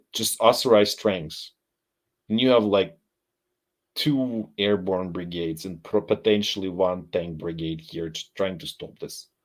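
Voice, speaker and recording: On a very clean recording with a silent background, a man with a non-native accent and a very deep, low pitch talks at a fairly slow pace. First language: not English. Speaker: live stream military analyst. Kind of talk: live stream commentary. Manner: halting.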